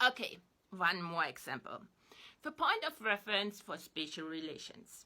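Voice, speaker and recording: Speaking with a German accent at a moderate pace, a woman uses a medium pitch, very wide pitch swings and a bright, sharp tone. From East Germany. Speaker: online commentator. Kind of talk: spoken reflection to camera.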